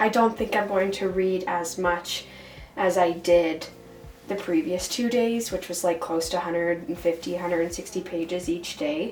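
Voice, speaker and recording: Over music in the background, a woman with a fairly low pitch talks at a moderate pace with ordinary pitch variation. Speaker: book vlogger. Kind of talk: casual vlog. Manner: casual, hesitant with fillers.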